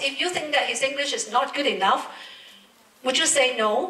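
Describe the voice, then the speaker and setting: A woman projects a raised, high-pitched voice with lively intonation. Audible room echo and noticeable background noise surround her. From Hong Kong. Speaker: professor moderator. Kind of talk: moderated interview.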